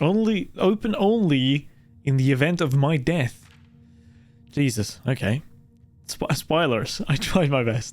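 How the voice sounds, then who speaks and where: A man's fairly high voice with lively intonation and very even loudness, at a fairly slow pace with long, frequent pauses, music in the background. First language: not English. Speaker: gaming streamer. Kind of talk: live gameplay stream with reading aloud.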